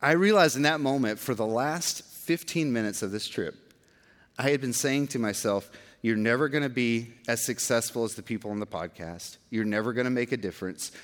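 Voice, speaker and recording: A man with an unremarkable speaking voice and an American accent, medium pitch, fairly quick pace, on a very clean recording with a silent background. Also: ordinary pitch variation. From Georgia, US. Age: 40s. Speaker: pastor. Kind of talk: sermon.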